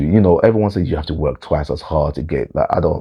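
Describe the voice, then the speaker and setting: A man talks with fairly even intonation, a dark, mellow tone and vocal fry. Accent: London. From London, England. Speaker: vlogger. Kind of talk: personal storytelling monologue.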